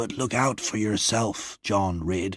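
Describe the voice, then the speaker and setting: Growling in a put-on character voice, a man speaks fairly slowly at a fairly low pitch on a very clean recording with a silent background. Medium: read story.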